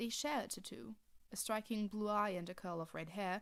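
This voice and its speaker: A woman's medium-pitched voice at a moderate pace. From Germany. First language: German. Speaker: fanfiction writer reading own story. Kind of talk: reading aloud; casual chat.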